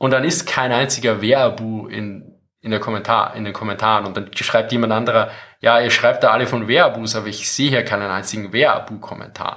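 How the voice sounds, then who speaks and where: Speaking fairly quickly, a man uses a medium pitch, a bright, sharp tone and fairly even intonation. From Austria. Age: 40s. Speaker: military history YouTuber. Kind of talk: casual interview.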